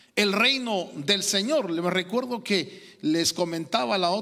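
Against a quiet background, a man talks at a very slow pace in a high-pitched voice. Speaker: preacher. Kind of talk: sermon. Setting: church. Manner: halting, repeating words, interactive preaching. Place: church. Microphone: handheld.

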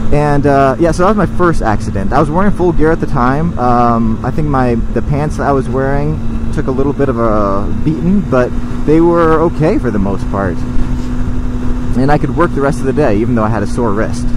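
Over noticeable background noise, a man speaks at a moderate pace with hardly any pauses. The sound is dry, with no echo. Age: 30s. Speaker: motorcycle vlogger. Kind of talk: casual storytelling monologue. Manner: hesitant, many fillers. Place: motorbike. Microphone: helmet.

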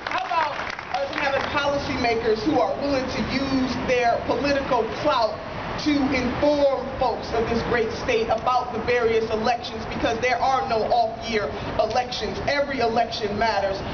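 Noticeable background noise runs under a woman speaking at a moderate pace. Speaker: politician. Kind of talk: rally speech. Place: street. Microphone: podium.

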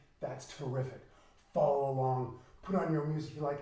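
The man talks very fast. His voice carries an audible echo from the room. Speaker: fitness instructor. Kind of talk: workout coaching. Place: home room.

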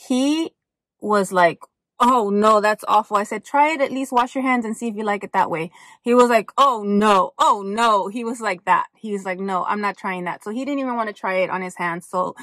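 Against a quiet background, a woman talks at a moderate pace. Her pitch variation is ordinary, and the sound is dry with no echo. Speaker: haul vlogger. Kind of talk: casual vlog chat. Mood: relaxed, chatty. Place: car. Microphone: phone near.

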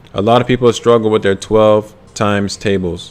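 Over music in the background, a man speaks at a fairly slow pace in a fairly low, monotone voice with flat intonation. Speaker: ASVAB tutor. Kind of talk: live-stream tutorial. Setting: live stream.

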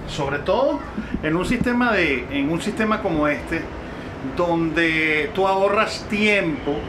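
A man speaks at high pitch with ordinary variation. Noticeable background noise runs underneath. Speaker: travel vlogger. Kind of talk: casual vlog chat. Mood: cheerful, enthusiastic. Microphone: phone near.

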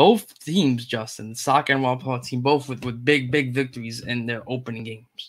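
A man speaks at a medium pitch and a moderate pace, his pitch varying in an ordinary way.

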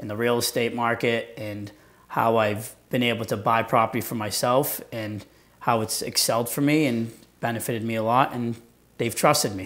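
A man delivers his words at a moderate pace. He keeps a monotone, flat intonation. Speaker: guest. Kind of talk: interview answer. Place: studio. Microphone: lapel.

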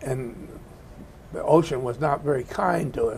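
Somewhat breathy male voice over light background noise. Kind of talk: interview answer. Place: meeting room. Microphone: lapel.

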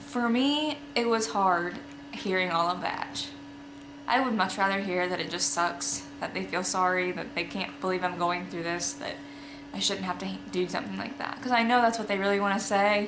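The pace is moderate as a woman speaks. Noticeable background noise is present. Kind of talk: casual vlog chat. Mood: candid, reflective, matter-of-fact. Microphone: phone near.

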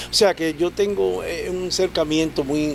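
The recording is dry, with no echo at all. Still, noticeable background noise surrounds the man speaking. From Dominican Republic, Los Minas, Santo Domingo; Dominican Republic. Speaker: merengue musician and composer; guest. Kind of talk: interview. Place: studio. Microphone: studio mic.

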